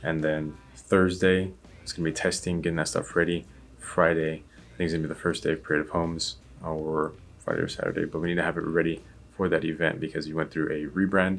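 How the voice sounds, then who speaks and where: Delivering his words at a very fast pace, a man with a very deep, low voice speaks in a monotone, flat intonation. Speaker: vlogger and web designer. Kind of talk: casual vlog narration. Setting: office. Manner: quiet.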